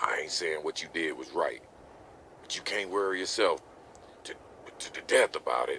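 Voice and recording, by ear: Putting on a character voice, a man uses an extremely low pitch with vocal fry, a bright, sharp tone and lively intonation at a moderate pace.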